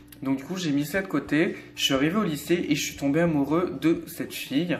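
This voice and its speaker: A man with a fairly high pitch talks at a fairly quick pace and keeps his intonation fairly even. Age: 20s. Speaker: vlogger. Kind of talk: personal testimony vlog. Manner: hesitant, many fillers.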